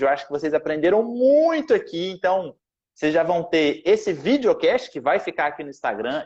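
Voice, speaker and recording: A man talks with a Goiás accent. His intonation is lively. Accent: Goiás accent with strong retroflex R. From Goiás, Brazil. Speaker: podcast host, math teacher. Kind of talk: casual chat.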